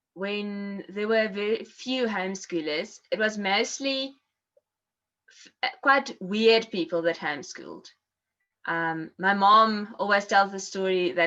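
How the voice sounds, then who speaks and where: A woman speaks at a medium pitch in a bright, sharp tone with ordinary pitch variation. Her pace is fairly slow against a quiet background. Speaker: former homeschooled learner, ballet and music teacher. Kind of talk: interview. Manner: halting, many fillers.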